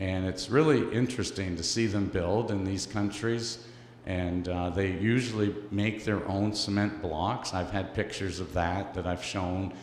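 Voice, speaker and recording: With a Canadian accent, the speaker talks at a fairly slow pace with hardly any pauses and fairly even intonation, over noticeable background noise and audible room echo. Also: man, fairly low pitch for a man. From Canada. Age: 60s. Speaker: missionary speaker for orphan charity. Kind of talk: church presentation. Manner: halting, many fillers.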